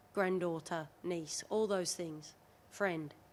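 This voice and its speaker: With an Australian accent, a woman talks at a fairly slow pace and medium pitch with fairly even intonation, on a very clean recording with a silent background. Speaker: rugby league player. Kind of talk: casual chat.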